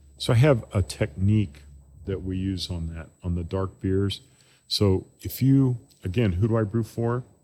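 This man's voice is fairly low, with a dark, mellow tone and a somewhat breathy quality. He speaks at a fairly slow pace with ordinary pitch variation, on a very clean recording with a silent background. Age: 60s. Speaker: brewery owner and brewer. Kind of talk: casual chat. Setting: brewery.

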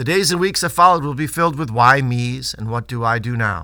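Lively in intonation and bright and sharp in tone, a man speaks at a fairly quick pace and medium pitch on a very clean recording with a silent background. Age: 50s. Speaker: pediatrician and newsletter host. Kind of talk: scripted narration.

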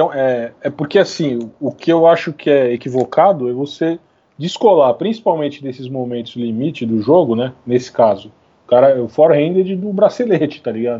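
At a moderate pace, a man speaks in a fairly high pitch with lively intonation. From Brazil, São Paulo city. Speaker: author and graphic designer. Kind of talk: casual interview chat. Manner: halting, many fillers.

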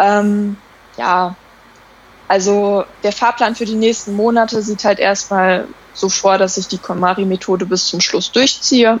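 Using a plain, everyday voice, a woman talks fairly slowly at medium pitch with fairly even intonation. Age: 20s. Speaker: minimalism blogger. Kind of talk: casual chat.

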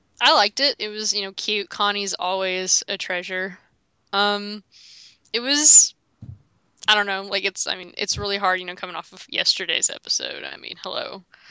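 Against a quiet background, a woman speaks at a moderate pace and medium pitch with a bright, sharp tone, fairly even intonation and big swings in loudness, in a dry, close sound with no echo. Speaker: podcast co-host. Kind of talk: casual chat.

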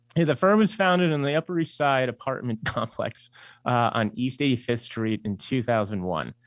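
A man with a New York accent speaks at a moderate pace in a medium voice with very wide pitch swings, the sound dry and close with no echo against a quiet background. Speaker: investment firm CEO and author. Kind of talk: radio interview.

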